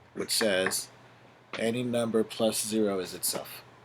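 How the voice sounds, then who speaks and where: Over noticeable background noise, a man talks in a flat, monotone way. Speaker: math teacher. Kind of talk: lecture. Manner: fast.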